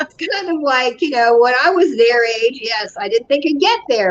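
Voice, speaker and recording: A high-pitched woman at a moderate pace over noticeable background noise. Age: 60s. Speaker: business consultant and author. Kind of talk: interview conversation.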